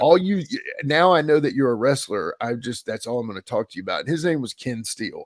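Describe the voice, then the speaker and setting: In an American accent, a man talks at a very fast pace with lively intonation, the sound dry and close with no echo. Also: fairly high pitch for a man. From US South (Mississippi). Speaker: podcaster and former wrestling manager. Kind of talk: casual interview chat. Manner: animated storytelling.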